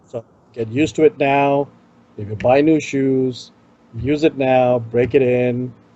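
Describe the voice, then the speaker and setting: The speaker is a man. He talks with an Indian accent. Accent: Indian accent, self-noted. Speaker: tech show co-host. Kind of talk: casual chat.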